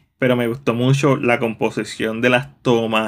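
On a very clean recording with a silent background, a man speaks at a medium pitch. His pace is fairly slow and his intonation monotone and flat. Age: 30s. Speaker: film reviewer. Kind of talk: video review.

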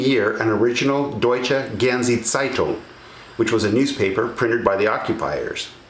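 The voice moves at a moderate pace with ordinary pitch variation and audible room echo. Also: man. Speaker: presenter. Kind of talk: scripted narration to camera. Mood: enthusiastic, then mildly regretful.

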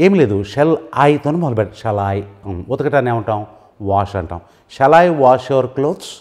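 Lively intonation carries the voice over a quiet background. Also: man, medium pitch for a man. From Telugu-speaking India. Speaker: English language teacher. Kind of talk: tutorial. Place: studio. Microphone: lapel.

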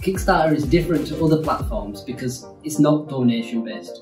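A man with a Yorkshire accent speaks at a moderate pace, with clear music in the background. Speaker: animation studio co-founder. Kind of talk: casual talk to camera. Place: home room.

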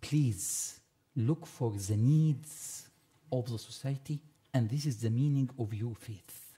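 A man with an Arabic accent, somewhat breathy and dark, mellow in tone, at a very slow pace against a quiet background. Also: ordinary pitch variation. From Egypt. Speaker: panelist. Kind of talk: panel discussion. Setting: stage with audience. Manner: halting. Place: hall. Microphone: podium.

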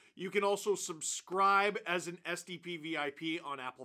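A man speaks over a quiet background. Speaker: sports channel host. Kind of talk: sports recap commentary and sponsor read. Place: home room.

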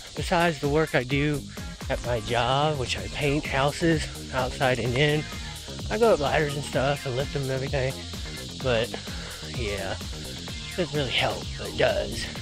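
Dry, echo-free speech at a moderate pace, long and frequent pauses, clear music in the background. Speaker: vlogger. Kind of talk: casual vlog chat. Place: forest. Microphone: phone near.

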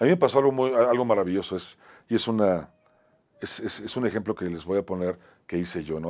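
A man's fairly low voice comes out at a fairly quick pace. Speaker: talk show host and actor. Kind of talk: motivational monologue. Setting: studio. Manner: halting, repetitive. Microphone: lapel.

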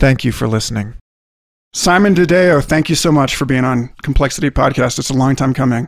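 In an ordinary speaking voice, someone talks at a fairly quick pace with ordinary pitch variation. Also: man, medium pitch for a man. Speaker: podcast host. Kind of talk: scripted narration.

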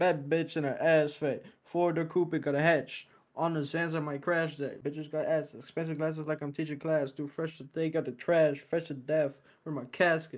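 A man's fairly high-pitched, monotone, flat delivery on a very clean recording with a silent background. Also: moderate pace. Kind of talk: casual chat.

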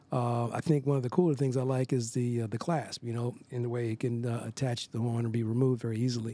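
A man with an American accent talks at a very fast pace with hardly any pauses, his tone dark and mellow, his intonation fairly even, and the sound dry with no echo. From Philadelphia, US. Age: 60s. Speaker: jazz saxophonist. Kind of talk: product testimonial. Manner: halting, many fillers. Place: studio. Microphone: studio mic.

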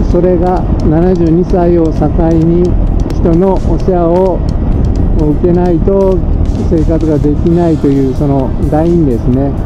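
Loud background noise surrounds a man speaking at a fairly slow pace. He leaves long, frequent pauses. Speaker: dental technician and home caregiver. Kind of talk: casual vlog talk to camera. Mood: cheerful, reflective. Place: motorbike. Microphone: helmet.

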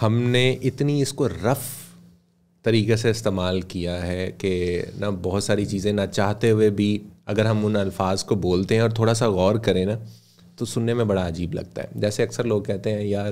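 A man speaks with a fairly low pitch and fairly even intonation. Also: fairly slow pace. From Pakistan. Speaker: radio broadcaster and voice-over artist; podcast guest. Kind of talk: casual interview. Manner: formal. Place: studio. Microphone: studio mic.

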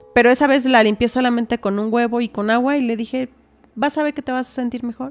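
Fairly even intonation at a fairly quick pace, with faint music in the background. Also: woman. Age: 30s. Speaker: massage therapist and homemaker; podcast guest. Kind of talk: testimony. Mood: earnest, at times distressed. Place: studio. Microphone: studio mic.

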